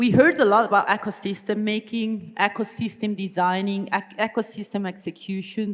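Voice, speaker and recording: A woman with an Italian accent. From Italy. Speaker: business strategy consultant, keynote speaker. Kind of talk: conference keynote talk.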